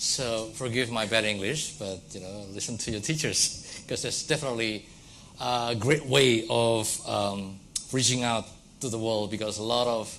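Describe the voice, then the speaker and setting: In an Indonesian accent, a man speaks at a moderate pace and medium pitch with fairly even intonation, and audible room echo is present. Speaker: academic lecturer. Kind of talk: lecture. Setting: lecture hall with audience.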